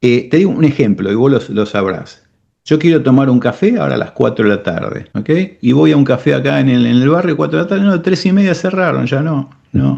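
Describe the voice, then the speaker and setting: A man with a medium pitch talks at a fairly quick pace in a dark, mellow tone, his pitch swinging very widely. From Argentina. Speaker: cardiac technician and business owner. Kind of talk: interview. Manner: animated.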